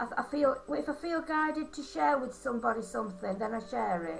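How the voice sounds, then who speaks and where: Over music in the background, a woman with a Yorkshire accent talks at a moderate pace. Her voice is high and her intonation lively. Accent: broad Yorkshire. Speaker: angel card reader and holistic therapist. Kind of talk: card reading. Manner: halting.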